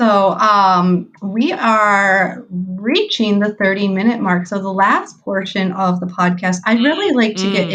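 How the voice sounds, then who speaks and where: Over noticeable background noise, a woman talks at a fairly slow pace with hardly any pauses. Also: medium pitch for a woman, fairly even intonation. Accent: Midwestern. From American Midwest. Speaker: podcast host.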